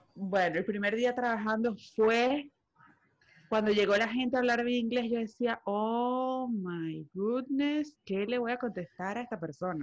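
A woman uses an ordinary speaking voice at a fairly slow pace. Her pitch is fairly high, with ordinary variation. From Venezuela. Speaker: podcast co-host. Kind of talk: casual chat.

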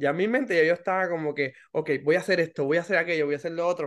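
Against a quiet background, a man with a high pitch and ordinary pitch variation talks at a very fast pace. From Puerto Rico. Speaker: podcast host, clinical social worker. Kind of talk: casual chat. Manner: halting, many fillers.

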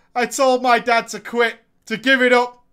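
On a very clean recording with a silent background, a man speaks at an extremely high pitch in a raised, projected voice, his tone animated, bright, and sharp. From Australia. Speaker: gaming streamer. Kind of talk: storytelling. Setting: home studio.

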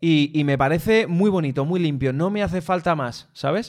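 A man with a plain, everyday voice, pitched fairly high, talks at a moderate pace with lively intonation on a very clean recording with a silent background. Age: 30s. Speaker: tech podcast co-host. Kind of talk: casual chat. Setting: studio, streamed live on video.

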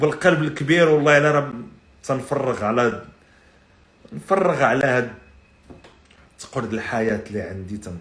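A man speaks at a medium pitch with an animated tone, lively intonation and big swings in loudness, leaving long, frequent pauses. Audible room echo and noticeable background noise surround him. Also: moderate pace. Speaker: podcast host. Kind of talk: casual live-stream monologue.

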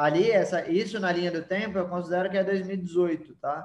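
A man speaks at a high pitch. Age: 30s. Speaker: digital marketing agency owner. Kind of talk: podcast interview.

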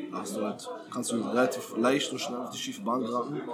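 Against noticeable background noise and audible room echo, a man talks at a very fast pace with a medium pitch and ordinary pitch variation. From Berlin, Germany. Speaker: professional footballer. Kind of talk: casual interview. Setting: shisha bar.

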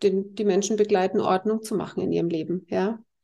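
At a moderate pace, a woman speaks in a dark, mellow tone with fairly even intonation. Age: 50s. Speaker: healer. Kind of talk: interview.

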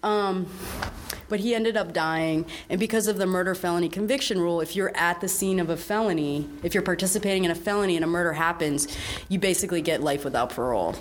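A woman speaks at a very fast pace with very even loudness against noticeable background noise. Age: 40s. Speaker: prison justice activist and art curator. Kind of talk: casual interview. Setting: art gallery.

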